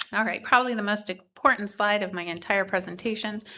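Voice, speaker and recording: The woman's bright, sharp tone comes at a fairly quick pace. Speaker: auditor presenting to a board. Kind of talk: formal presentation. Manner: fast.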